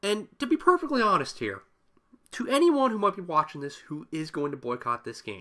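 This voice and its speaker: A man projects a raised, high, bright and sharp voice at a fairly quick pace, with very wide pitch swings and big swings in loudness. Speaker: gaming YouTuber. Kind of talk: solo rant video.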